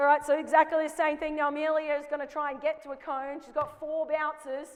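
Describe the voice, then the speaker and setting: Speaking fairly quickly in an Australian accent, a woman keeps a high pitch and a monotone, flat intonation while her loudness swings widely over noticeable background noise. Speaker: basketball coach. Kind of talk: coaching clinic demonstration. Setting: basketball court with live audience.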